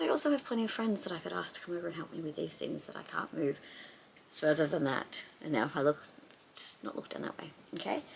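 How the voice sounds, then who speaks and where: A woman at a very fast pace with big swings in loudness, long and frequent pauses, and noticeable background noise. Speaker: crafter. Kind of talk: casual talk to camera. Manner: rambling, hesitant.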